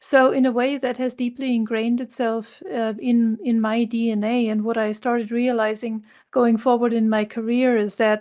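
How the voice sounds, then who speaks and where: Speaking with a German accent at a moderate pace, a woman has a fairly high pitch and a dark, mellow tone. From southern Germany, near Munich. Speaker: consultant, company founder. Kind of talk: interview.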